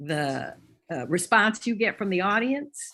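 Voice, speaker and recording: A woman with an American accent and lively intonation on a very clean recording with a silent background. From Detroit, US Midwest. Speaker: radio personality. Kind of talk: panel discussion. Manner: halting.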